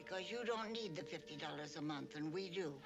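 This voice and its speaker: Over loud background noise, a put-on character voice at a middle pitch moves at a fairly quick pace. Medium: short film. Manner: frank, gently teasing.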